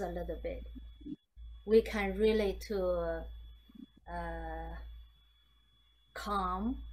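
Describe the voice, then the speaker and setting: With audible room echo, a woman speaks at a very slow pace and leaves long, frequent pauses. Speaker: meditation teacher. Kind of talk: guided meditation talk. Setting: video call. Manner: halting, many fillers and repeats.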